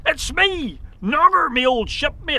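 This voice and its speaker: A man puts on a character voice with an extremely high pitch. Light background noise is present. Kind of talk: children's storytelling. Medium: read story. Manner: rough, ungrammatical pirate talk.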